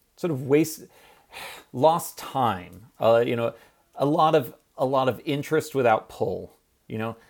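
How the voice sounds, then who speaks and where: An unremarkable speaking voice from a man, fairly high in pitch, at a fairly slow pace with ordinary pitch variation. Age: 30s. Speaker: biotech company co-founder and scientist. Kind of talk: interview.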